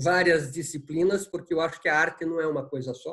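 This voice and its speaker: This man's voice is high in pitch. Behind him, the background stays quiet. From Paraná, Brazil. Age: 70s. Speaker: art curator and professor. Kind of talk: interview. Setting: video call from home. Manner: halting, many fillers. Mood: calm, friendly, reflective. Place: home room. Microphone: video call.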